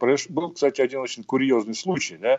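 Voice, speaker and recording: A man at a fairly quick pace. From Uzbekistan, Fergana Valley (Margilan). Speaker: Middle East and military analyst. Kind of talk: radio interview. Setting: remote link. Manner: halting, many fillers.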